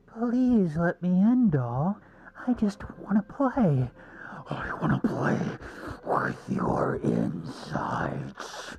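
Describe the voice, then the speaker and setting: In a put-on character voice, a speaker uses a raspy, middle-pitched, menacing and sinister tone at a very slow pace. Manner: menacing, sinister.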